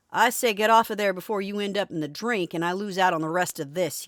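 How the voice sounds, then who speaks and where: Gruff and very fast, this put-on character voice stays at a middle pitch. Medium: read story. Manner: gruff, bellowing.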